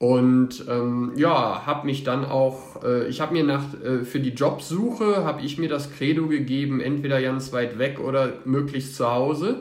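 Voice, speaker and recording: Noticeable background noise and audible room echo surround a man talking at a fairly slow pace, his fairly high pitch showing ordinary variation. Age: 30s. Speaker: public administration employee. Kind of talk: interview.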